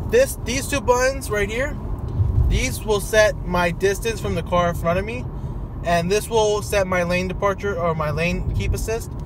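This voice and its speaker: The speech moves at a moderate pace, with a dry sound with no echo and noticeable background noise. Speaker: driver demonstrating car feature. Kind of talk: casual vlog tutorial. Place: car. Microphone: phone near.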